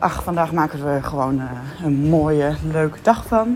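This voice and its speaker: Amid noticeable background noise, a woman with a very deep, low voice speaks at a moderate pace. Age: 20s. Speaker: primary school teacher. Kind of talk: audio diary.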